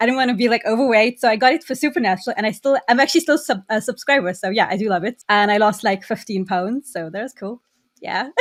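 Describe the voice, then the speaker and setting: A woman with a South African accent, fairly high pitch and ordinary pitch variation, talking at a very fast pace in a dry, close sound with no echo. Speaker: podcast guest, VR enthusiast. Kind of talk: casual chat.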